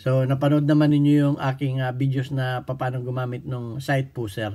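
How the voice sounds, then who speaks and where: The speaker is a man with a medium pitch and a dark, mellow tone. He talks at a moderate pace. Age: 60s. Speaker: firearms instructor. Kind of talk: tutorial. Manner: halting.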